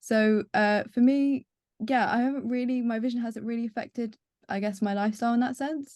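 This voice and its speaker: At a fairly quick pace, a woman speaks with a fairly high pitch and fairly even intonation. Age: 20s. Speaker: engineering graduate and sight loss advocate. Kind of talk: webinar interview. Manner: hesitant with many fillers.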